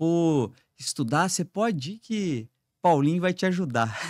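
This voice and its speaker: In a very clean recording with a silent background, a man speaks with a southern Minas Gerais accent. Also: dry, close sound with no echo. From southern Minas Gerais, Brazil (Três Pontas). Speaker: business executive, trade union president. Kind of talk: podcast interview.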